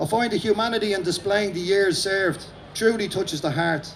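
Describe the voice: Vocal fry marks a man's high-pitched, fairly bright voice with ordinary pitch variation. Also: moderate pace.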